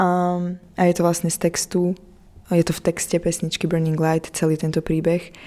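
In a very clean recording with a silent background, a woman speaks at a moderate pace in a fairly low, dark, mellow tone with flat, monotone intonation. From eastern Slovakia, Prešov. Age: 20s. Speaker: singer. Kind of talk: radio interview.

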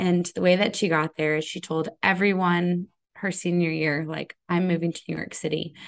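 A woman with an American accent talks at a fairly quick pace in a fairly low pitch, using fairly even intonation and a normal speaking voice over a quiet background. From Connecticut, US. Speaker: business coach. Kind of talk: interview.

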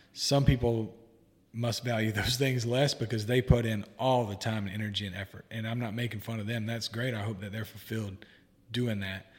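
A man's monotone, flat intonation, somewhat breathy, with an American accent. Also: medium pitch for a man, fairly quick pace. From US South. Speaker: guest, therapist-in-training and podcaster. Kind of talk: casual interview conversation.

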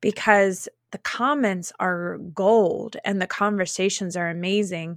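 In a very clean recording with a silent background, a woman uses an ordinary speaking voice at medium pitch with ordinary pitch variation. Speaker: LinkedIn coach. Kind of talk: casual interview chat. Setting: home office.

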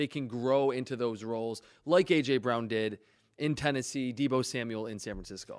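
A man's medium-pitched, ordinary speaking voice at a moderate pace, in a very clean recording with a silent background. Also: ordinary pitch variation. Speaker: football draft analyst. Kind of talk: sports radio talk.

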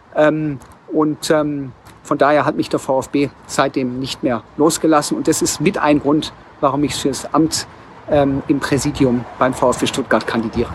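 Over noticeable background noise, a man with a fairly high pitch speaks with fairly even intonation. He goes at a very slow pace. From Swabia, Germany (Tübingen). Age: 40s. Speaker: bookstore executive and club board candidate. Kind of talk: campaign statement.

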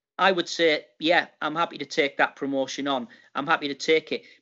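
This man talks with a Teesside accent at a fairly high pitch. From Middlesbrough, northeast England. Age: 50s. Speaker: retired retail executive. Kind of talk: casual interview. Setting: call.

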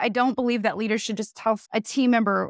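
A woman's fairly high voice at a fairly quick pace, very cleanly recorded against a silent background, dry and close with no echo. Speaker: leadership coach. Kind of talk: interview.

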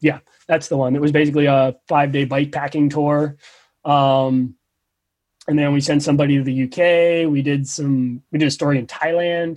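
A man with a New Jersey accent speaks at a fairly high pitch. His intonation is monotone and flat, and his loudness stays very even. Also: moderate pace. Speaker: professional bike racer and journalist. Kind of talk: casual chat. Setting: video chat.

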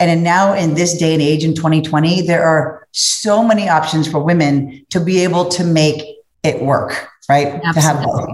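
A woman in an American accent at a fairly low pitch, with fairly even intonation, very even loudness and a moderate pace, amid audible room echo. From US Midwest, Cincinnati, Ohio. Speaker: corporate sales executive. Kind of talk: interview conversation.

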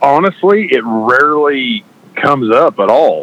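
Noticeable background noise accompanies a man with an American accent speaking at a fairly slow pace. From southeast Nebraska. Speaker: ag equipment salesman.

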